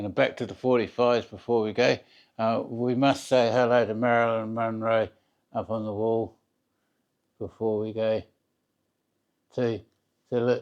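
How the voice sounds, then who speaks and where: Mumbling at a moderate pace with long, frequent pauses, a man talks at a medium pitch in a monotone, flat way. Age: 50s. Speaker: record collector. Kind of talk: casual video tour. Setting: home record room. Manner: halting, mumbling.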